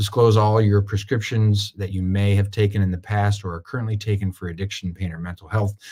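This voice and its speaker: Here a man speaks at a fairly low pitch, sounding somewhat breathy. His intonation stays fairly even. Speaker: attorney. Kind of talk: webinar presentation. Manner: fast.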